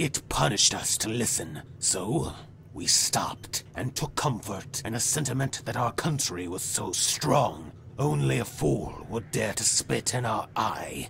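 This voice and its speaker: A man speaks in a put-on character voice. Clear background noise sits behind him. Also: medium pitch for a man, fairly slow pace. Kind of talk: dramatic monologue. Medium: video game.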